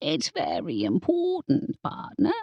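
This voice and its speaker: Using a squeaky, put-on character voice, a woman speaks at a high pitch and a fairly slow pace. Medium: read story. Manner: keeps saying partner.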